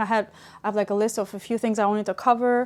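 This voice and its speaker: A soft-spoken woman talks at a very fast pace. The recording is very clean, with a silent background. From Albania. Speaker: paper flower crafter. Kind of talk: tutorial. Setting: livestream. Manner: hesitant, many fillers.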